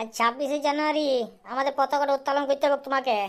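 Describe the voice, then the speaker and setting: In a cartoonish character voice, a woman talks at a high pitch and a fairly quick pace with monotone, flat intonation. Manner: rough, swearing, quick-talking.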